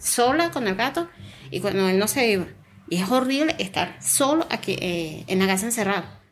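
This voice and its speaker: Music plays behind a woman speaking at a moderate pace. Her pitch swings very widely. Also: medium pitch for a woman. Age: 40s. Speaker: wife of a returning migrant. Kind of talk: interview testimony.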